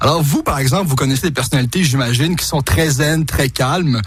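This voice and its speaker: Fairly quick, lively speech from a man at a fairly high pitch, over noticeable background noise. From Quebec. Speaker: TV prankster and radio host. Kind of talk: radio interview.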